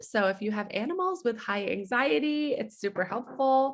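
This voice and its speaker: Using a normal speaking voice, a woman talks with lively intonation at a moderate pace. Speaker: special ed teacher presenting wellness products. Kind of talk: product presentation on group video call. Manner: casual with many fillers.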